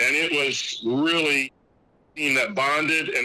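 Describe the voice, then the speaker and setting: A man's fairly high voice with an American accent, over noticeable background noise. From Indiana, US Midwest. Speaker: basketball coach and teacher, podcaster. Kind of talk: casual interview chat.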